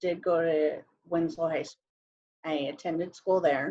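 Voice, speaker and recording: A woman speaks in a Navajo Nation accent. Her pitch is fairly low. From northern Arizona, Navajo reservation area. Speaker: panelist. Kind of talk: casual chat.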